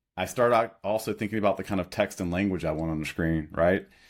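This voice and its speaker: An American accent with lively intonation, in a very clean recording with a silent background. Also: man. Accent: Cajun. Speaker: startup co-founder and product designer. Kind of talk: podcast interview.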